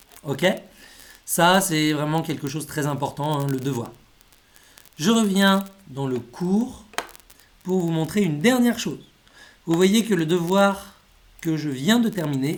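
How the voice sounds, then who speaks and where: Long, frequent pauses interrupt speech delivered very slowly. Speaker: language school teacher. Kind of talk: tutorial.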